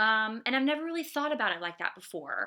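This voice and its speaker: A woman speaks in a high pitch with a bright, sharp tone on a very clean recording with a silent background. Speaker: art instructor. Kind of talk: lecture. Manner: fast; casual, many fillers.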